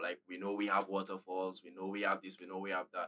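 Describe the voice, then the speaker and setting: A man with a bright, sharp tone speaks at a fairly quick pace, in a dry, close sound with no echo. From Dominica. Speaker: reaction channel host and amateur musician. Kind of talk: casual conversation. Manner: fast, animated with many fillers.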